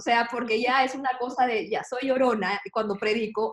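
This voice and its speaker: A woman with a fairly high pitch speaks with ordinary pitch variation in an unremarkable speaking voice. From Peru, Lima. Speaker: church staff member. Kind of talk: casual panel conversation.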